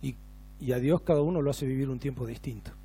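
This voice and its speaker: Male speech with a dark, mellow tone. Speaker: pastor. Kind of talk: sermon. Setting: church.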